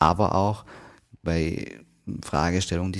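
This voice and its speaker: A man's very deep, low voice. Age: 30s. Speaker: hypnotherapist and podcast host. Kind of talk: solo podcast talk. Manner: casual.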